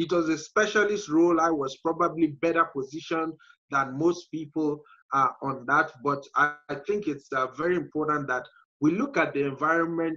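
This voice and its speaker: With an African accent, a man speaks at a moderate pace. His voice is fairly high, with a bright, sharp tone. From Nigeria, middle belt. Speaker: entrepreneur. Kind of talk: interview. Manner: frequent fillers and hesitations.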